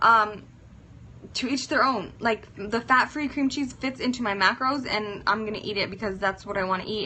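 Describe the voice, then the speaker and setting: With ordinary pitch variation, a woman's speech moves along at a moderate pace. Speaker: fitness influencer. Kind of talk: casual live-stream chat.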